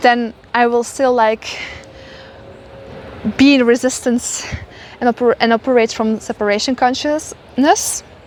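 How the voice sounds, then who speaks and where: A woman with a high voice speaks fairly slowly and fairly evenly, with long, frequent pauses over noticeable background noise. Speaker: spiritual mentor. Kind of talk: casual spiritual monologue. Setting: outdoors walking.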